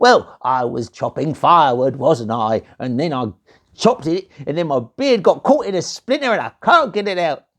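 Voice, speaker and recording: A man's put-on character voice at a fairly high pitch, with very wide pitch swings and a moderate pace. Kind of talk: comic overacting. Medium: read story. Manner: cranky, complaining, rude.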